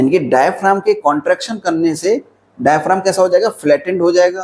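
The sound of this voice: At a fairly quick pace, a man talks in a high pitch with ordinary pitch variation and a slightly mellow tone.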